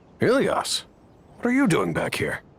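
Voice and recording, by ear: A man's put-on character voice with a husky, rough edge, very wide pitch swings and a moderate pace. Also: fairly high pitch for a man.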